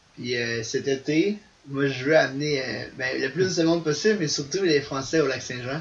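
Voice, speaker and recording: A man with a fairly high pitch talks at a moderate pace with ordinary pitch variation over noticeable background noise. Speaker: ultimate frisbee player. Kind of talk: casual interview.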